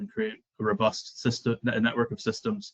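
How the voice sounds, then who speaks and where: A man's medium-pitched voice in a Scottish accent, with fairly even intonation. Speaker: software client relationship manager. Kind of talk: webinar presentation.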